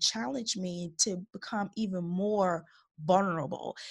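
A woman talks in an animated tone at a fairly slow pace, her voice somewhat breathy with ordinary pitch variation. The recording is very clean, with a silent background. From Chicago Heights, Illinois, US. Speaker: podcast host and women's coach. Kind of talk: solo podcast monologue.

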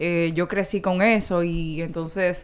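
A woman at a medium pitch with a Dominican accent. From Dominican Republic. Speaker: sports journalist. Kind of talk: casual chat.

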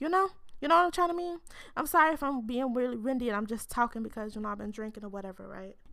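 On a very clean recording with a silent background, a woman speaks at a very fast pace in a high, bright, sharp, animated tone, with very wide pitch swings and big swings in loudness. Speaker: podcast host. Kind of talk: casual solo chat.

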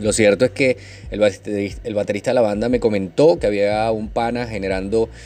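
Speaking at a moderate pace, a man with a fairly low pitch has a dark, mellow tone and fairly even intonation. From Venezuela, Maturín (Monagas). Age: 30s. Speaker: podcast host, network marketer. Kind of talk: casual monologue. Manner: trying to speak calmly, getting livelier.

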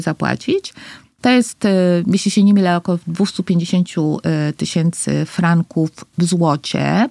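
In a very clean recording with a silent background and a dry, close sound with no echo, a woman talks at a very slow pace with ordinary pitch variation. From Costa Rica. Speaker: foundation president, entrepreneur. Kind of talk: interview conversation.

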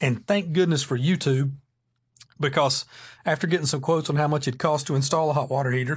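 Over a quiet background, a man talks at a fairly quick pace in a fairly high, somewhat breathy voice. His pitch varies in an ordinary way. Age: 40s. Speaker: podcast host. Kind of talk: solo casual monologue.

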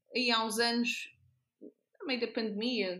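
Very slowly, a woman speaks in a bright, sharp tone. Her intonation is flat and monotone. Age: 30s. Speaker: nurse. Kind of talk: casual interview.

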